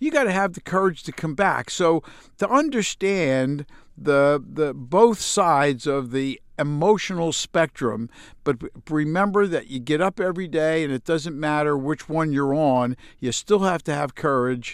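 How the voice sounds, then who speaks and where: A man speaks with an American accent at a fairly high pitch. The recording is very clean, with a silent background. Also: ordinary pitch variation, moderate pace. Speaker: business executive. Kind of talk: interview. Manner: halting, many fillers.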